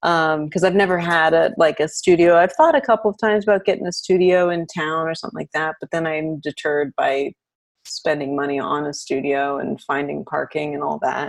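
A woman with an American accent speaks at a fairly quick pace, with a fairly low pitch, ordinary pitch variation and a normal speaking voice. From US, Arlington, Virginia (DC area). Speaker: destination wedding photographer. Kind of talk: casual interview chat.

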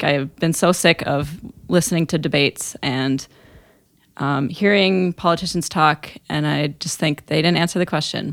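A woman with a plain, everyday voice and an American accent uses a fairly low pitch and ordinary pitch variation at a moderate pace, on a very clean recording with a silent background. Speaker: elementary music teacher. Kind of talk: casual chat.

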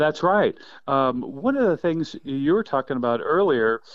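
Here a man speaks at a fairly slow pace. He has an ordinary speaking voice, pitched fairly high. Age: 50s. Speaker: quail biologist. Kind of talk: casual interview.

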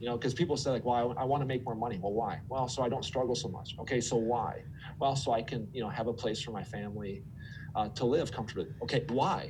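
With an American accent, a man speaks at a very fast pace in a somewhat breathy voice of medium pitch and ordinary pitch variation. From Minnesota. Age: 40s. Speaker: former TV meteorologist, finance and career coach. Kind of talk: interview conversation. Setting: studio.

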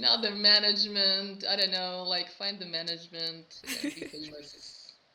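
At a moderate pace, a woman with a medium pitch speaks with ordinary pitch variation and big swings in loudness against noticeable background noise. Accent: Russian. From Russia. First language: Russian. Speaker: metal vocalist. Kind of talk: interview. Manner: halting.

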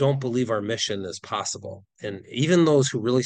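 Here a man speaks with a Wisconsin accent at a medium pitch and a fairly quick pace. His intonation is lively, and the background is quiet. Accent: Upper Midwest (Wisconsin) American. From Wisconsin, near Green Bay. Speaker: nonprofit founder. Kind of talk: podcast interview.

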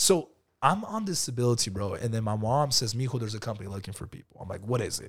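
A man speaks very fast at a medium pitch, somewhat breathy, with ordinary pitch variation and big swings in loudness. The recording is very clean, with a silent background. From California, Bakersfield area (Lamont). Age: 30s. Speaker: insurance entrepreneur. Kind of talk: casual interview. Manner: animated.

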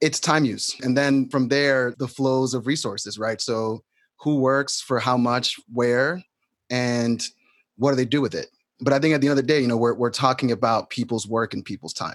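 A man with an American accent speaks at a moderate pace in an unremarkable speaking voice with a medium pitch. His intonation is fairly even, and the recording is very clean with a silent background. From New York City. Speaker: solidarity economy activist. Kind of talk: conversation between guests.

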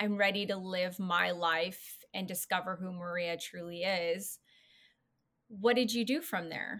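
A woman speaks in a plain, everyday voice with an American accent, her pitch medium. She talks at a fairly slow pace with fairly even intonation. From California. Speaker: podcast host. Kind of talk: interview, casual chat.

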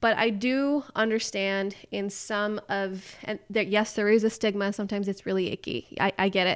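Using an ordinary speaking voice, a woman talks at a moderate pace and medium pitch with fairly even intonation and hardly any pauses. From California, with teen years in the Middle East. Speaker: graphic designer and nutrition writer. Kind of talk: casual interview chat.

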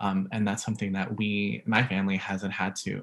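Vocal fry runs through a man's fairly low-pitched voice. He speaks at a fairly quick pace. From Vancouver, Canada (born in the Philippines). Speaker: podcast co-host. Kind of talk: casual chat.

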